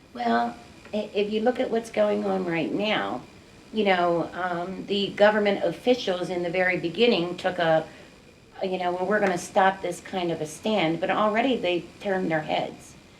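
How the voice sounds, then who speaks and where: A woman speaks at a moderate pace and medium pitch, with ordinary pitch variation over noticeable background noise. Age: 60s. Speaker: community activist, mother of gun violence victim. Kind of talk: interview.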